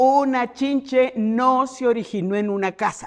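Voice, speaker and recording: A woman talks against a quiet background. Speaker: entomologist, university researcher. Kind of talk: keynote lecture at a congress. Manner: loud.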